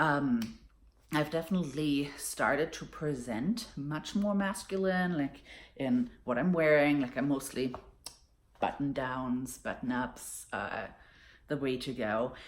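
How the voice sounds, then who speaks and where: Very slowly, a woman speaks with a very deep, low pitch and lively intonation. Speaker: vlogger. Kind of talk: personal vlog. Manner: casual, many fillers.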